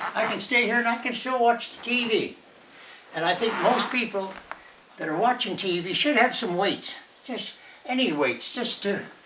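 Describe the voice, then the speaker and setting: Amid noticeable background noise, a man with an extremely high pitch speaks at a moderate pace with ordinary pitch variation and long, frequent pauses. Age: 80s+. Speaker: retired senior demonstrating home exercises. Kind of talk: casual talk to camera. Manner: hesitant, halting.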